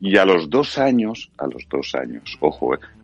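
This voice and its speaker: With music in the background, a man speaks at a fairly slow pace in a very deep, low pitch that swings very widely. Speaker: voice actor. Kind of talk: casual chat.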